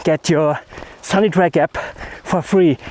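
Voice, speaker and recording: A man's high-pitched voice with a German accent, dry and close with no echo, over noticeable background noise. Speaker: landscape photography vlogger. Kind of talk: vlog outro. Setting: outdoors hiking down a mountain.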